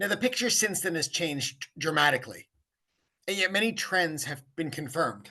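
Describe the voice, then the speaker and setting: A man's high-pitched voice with lively intonation, in a Canadian accent. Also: moderate pace. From Canada. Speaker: academic panelist. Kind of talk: conference presentation.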